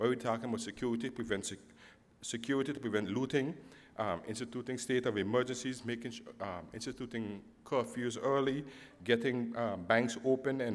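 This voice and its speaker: Speaking at a fairly quick pace, a man uses a medium pitch. His intonation is fairly even. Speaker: government official. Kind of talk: public presentation. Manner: fast.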